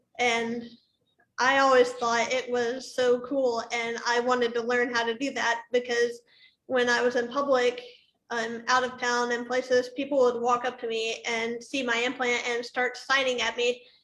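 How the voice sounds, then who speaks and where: Her voice is high-pitched and monotone, with flat intonation, as a woman talks at a moderate pace. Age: 20s. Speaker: deaf cochlear implant user. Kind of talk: panel discussion. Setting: livestream.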